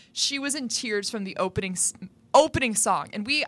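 A plain, everyday voice from a woman at medium pitch, fairly quick in pace, with lively intonation. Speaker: college radio sports host. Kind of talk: casual chat.

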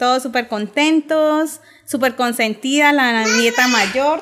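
Noticeable noise fills the background as a woman talks in a high voice with ordinary pitch variation. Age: 30s. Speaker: mother of two. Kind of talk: casual chat.

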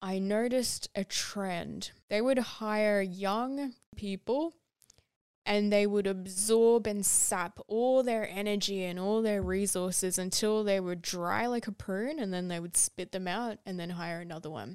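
At a fairly slow pace, a woman speaks in a plain, everyday voice, with medium pitch and ordinary pitch variation. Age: 20s. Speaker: podcast host, sustainable fashion advocate. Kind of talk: personal storytelling monologue.

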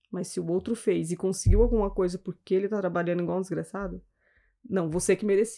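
In a very clean recording with a silent background, a woman with a dark, mellow tone, medium pitch and vocal fry speaks at a very fast pace with fairly even intonation. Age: 40s. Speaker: civil servant and lawyer. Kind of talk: casual chat.

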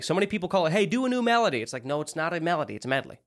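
A man speaks at a fairly high pitch with very wide pitch swings and vocal fry. The recording is very clean, with a silent background. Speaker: podcast co-host. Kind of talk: casual chat. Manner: fast talker; animated.

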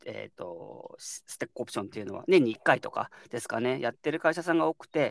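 A man's medium-pitched voice at a very fast pace, with vocal fry, lively intonation and a dry, close sound with no echo. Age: 30s. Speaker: startup co-founder. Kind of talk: casual chat.

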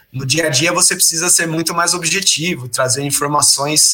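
A man talks at a moderate pace in a fairly high pitch, his pitch varying in an ordinary way, with noticeable background noise present. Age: 30s. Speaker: presentation designer. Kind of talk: interview. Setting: live stream.

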